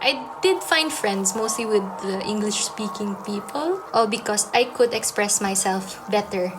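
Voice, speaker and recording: Noticeable background noise sits behind a woman who speaks at a fairly slow pace with hardly any pauses. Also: medium pitch for a woman, ordinary pitch variation. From Philippines. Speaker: music student. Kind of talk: documentary interview.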